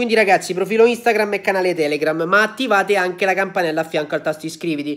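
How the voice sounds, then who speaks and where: Hardly pausing at all, a man talks at a very fast pace. His pitch is high, with ordinary variation. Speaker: football YouTuber; football vlogger. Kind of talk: casual video commentary. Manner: animated. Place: home room. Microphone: phone near.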